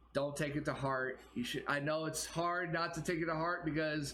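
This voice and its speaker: A man speaks at a moderate pace. Audible room echo follows his voice. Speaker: YouTube reaction video creator. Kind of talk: casual vlog commentary. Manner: halting, many fillers.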